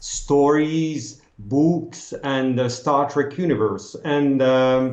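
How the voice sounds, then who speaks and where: In a room with audible echo, a man with a fairly high pitch talks at a very slow pace. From France, Strasbourg. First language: French. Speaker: costume consultant. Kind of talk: interview. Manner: halting.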